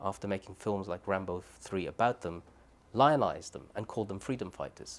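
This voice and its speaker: Fairly quick speech from a man in a Birmingham accent, his pitch fairly low. The pitch varies in an ordinary way, and the recording is very clean with a silent background. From Birmingham, England. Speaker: human rights advocate, former Guantánamo detainee. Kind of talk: oral history interview answer.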